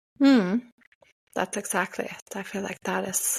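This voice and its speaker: A woman talks with a Norwegian accent and ordinary pitch variation. The recording is very clean with a silent background and a dry, close sound with no echo. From Norway. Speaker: podcast co-host. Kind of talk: casual chat.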